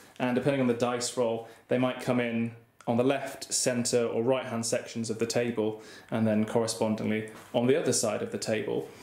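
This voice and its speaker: There is audible room echo as a man speaks with fairly even intonation. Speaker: wargaming hobbyist host. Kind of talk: tutorial commentary. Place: home room. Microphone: phone near.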